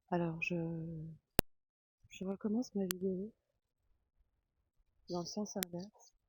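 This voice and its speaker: Soft-spoken and somewhat breathy, the voice moves at a very slow pace with long, frequent pauses and fairly even intonation, in a dry, close sound with no echo. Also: woman, medium pitch for a woman. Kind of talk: ASMR walk by a lake, casual talk to camera. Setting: outdoors.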